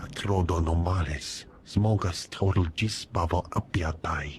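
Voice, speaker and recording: Over clear background noise, a man puts on a character voice with a very deep, low pitch, speaking at a fairly slow pace. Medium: video game.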